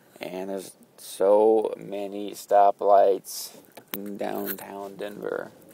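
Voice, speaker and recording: Very slow speech from a man, with noticeable noise behind it. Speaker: vlogger. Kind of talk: casual vlog while driving. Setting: in a car. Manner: flat intonation, sounds mad; hesitant, filler-heavy.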